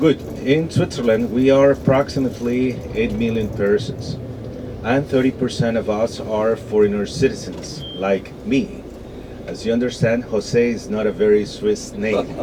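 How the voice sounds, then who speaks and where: Over noticeable background noise, a man with a Spanish accent talks at a moderate pace and medium pitch with ordinary pitch variation. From Venezuela. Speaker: tour guide. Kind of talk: guided tour. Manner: halting with fillers.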